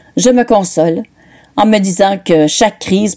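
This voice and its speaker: A woman with a dark, mellow tone talks fairly slowly, using ordinary pitch variation. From northern Ontario. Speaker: writer. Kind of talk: reading aloud.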